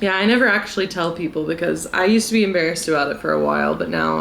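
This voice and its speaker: Fairly quick speech in an American accent, with audible room echo. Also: woman. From US South, South Carolina. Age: 20s. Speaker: vlogger. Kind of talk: casual chat. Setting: drinking tea at home.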